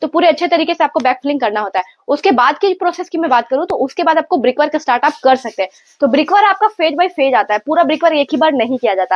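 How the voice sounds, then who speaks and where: Against a quiet background, a woman talks at a fairly quick pace with a high pitch. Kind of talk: tutorial. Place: home room. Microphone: lapel.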